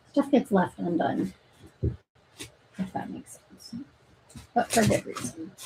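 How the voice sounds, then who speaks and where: Mumbling at a fairly slow pace with long, frequent pauses, a woman of medium pitch swings very widely in both pitch and loudness. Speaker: nursing grad student and livestreamer. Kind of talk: casual livestream chat.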